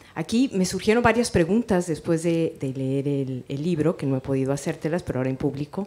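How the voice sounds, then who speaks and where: She is soft-spoken. The woman keeps to a moderate pace. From Mexico. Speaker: writer and teacher. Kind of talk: audience question at a book presentation.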